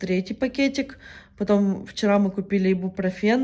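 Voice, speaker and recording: A woman with a medium pitch and a dark, mellow tone speaks at a moderate pace. Her pitch variation is ordinary, and the background is quiet. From Ukraine. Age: 20s. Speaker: vlogger. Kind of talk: casual vlog monologue. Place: home room. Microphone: phone near.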